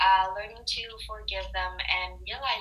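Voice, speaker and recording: A woman speaks very slowly, with noticeable noise in the background. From Canada. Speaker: meditation practitioner. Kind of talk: casual chat. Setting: video call.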